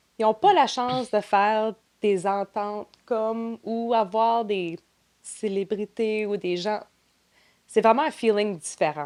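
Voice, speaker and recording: The woman's fairly high voice shows ordinary pitch variation while she talks at a very slow pace. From New Brunswick, Canada (Grand Manan island). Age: 30s. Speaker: trade show marketing and operations director. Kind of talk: podcast interview.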